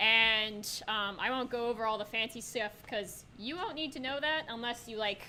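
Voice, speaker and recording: A woman with a fairly high pitch speaks at a moderate pace. Her pitch varies in an ordinary way, and noticeable background noise is present. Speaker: workshop presenter at a college game dev club. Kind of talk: live software tutorial workshop. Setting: room with live audience and microphones. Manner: loud; casual, filler-heavy with many ums.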